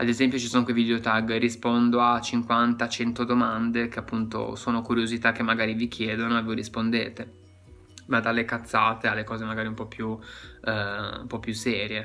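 With faint music in the background, a man talks at a fairly quick pace in a monotone with flat intonation. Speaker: ASMR content creator giving advice. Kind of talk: casual vlog chat. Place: home room. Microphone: phone near.

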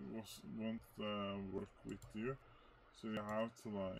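There is light background noise. A man talks at a very slow pace. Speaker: speedrunner. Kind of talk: gameplay commentary. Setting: faulty microphone. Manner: hesitant, many filler words. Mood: relaxed, a bit hesitant. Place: home room.

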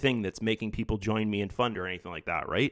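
The man's pitch sits fairly low. The sound is dry and close, with no echo. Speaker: YouTuber reviewing an investment program. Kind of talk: casual screen-share monologue. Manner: halting, many fillers and repeats.

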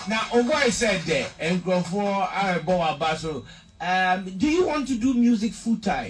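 A man with a Ghanaian accent and a high voice speaks at a very slow pace with lively intonation over light background noise. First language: Twi. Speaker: interviewer. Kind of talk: interview. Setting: studio. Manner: animated. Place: studio.

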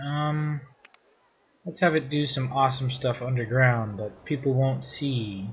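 Mumbling at a fairly slow pace, a man sounds somewhat breathy, with ordinary pitch variation. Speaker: let's play gamer. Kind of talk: casual gameplay commentary. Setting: home microphone placed too far away. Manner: mumbling, low volume.

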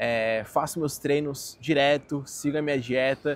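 The recording has a dry sound with no echo. A man is speaking. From Brazil. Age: 20s. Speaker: finance YouTuber. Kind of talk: casual vlog monologue. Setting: outdoors in a park. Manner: animated. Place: garden. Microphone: phone near.

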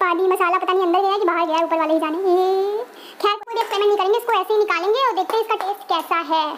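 With light background noise behind her, a woman speaks fairly quickly in an extremely high pitch, her intonation fairly even and her loudness very even. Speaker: cooking vlogger. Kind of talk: casual vlog chat. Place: kitchen. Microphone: lapel.

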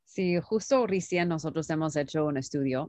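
Over a quiet background, a woman with an English accent speaks with ordinary pitch variation, the sound dry with no echo. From United States. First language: English (speaking Spanish). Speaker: startup founder and CEO; interview guest. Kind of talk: interview; interview answer. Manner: halting, many fillers. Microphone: video call.

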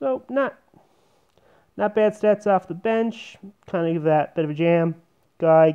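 A man's voice, fairly high in pitch, with ordinary pitch variation and a quiet background. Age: 30s. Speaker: sports YouTuber. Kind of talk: casual monologue. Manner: halting. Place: home room. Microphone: earbuds.

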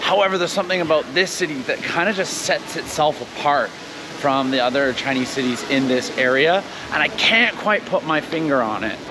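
The speech moves at a fairly quick pace with hardly any pauses. Noticeable background noise sits behind it. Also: man. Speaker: travel vlogger. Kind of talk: casual vlog chat. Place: street. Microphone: lapel.

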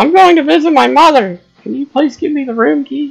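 A man does a put-on character voice at an extremely high pitch. He talks at a fairly quick pace.

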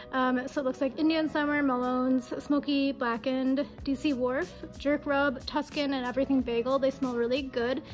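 The delivery is monotone and flat at a moderate pace. Faint music plays in the background. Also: woman. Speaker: travel vlogger. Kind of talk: casual vlog chat. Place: home room.

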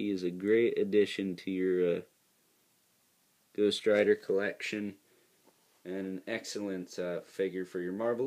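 Fairly low-pitched male voice at a moderate pace, with long, frequent pauses. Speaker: toy reviewer. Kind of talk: casual review commentary. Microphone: phone near.

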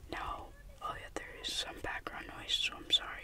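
Someone whispers at a fairly slow pace. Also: man. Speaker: ASMR creator. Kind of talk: ASMR whispering. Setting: in a car, background noise. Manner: whispered, soft-spoken. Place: car. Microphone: phone near.

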